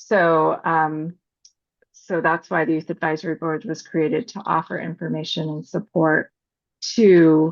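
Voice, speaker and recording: A fairly low-pitched woman's voice with vocal fry, fairly slow, over a quiet background. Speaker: parent advocacy organization presenter. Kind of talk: webinar presentation.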